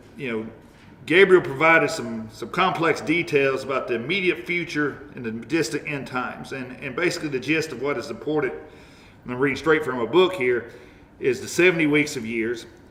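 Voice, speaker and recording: At a moderate pace, a man talks with a fairly high pitch and ordinary pitch variation over noticeable background noise. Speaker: Sunday school teacher. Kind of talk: Bible study lesson. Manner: halting.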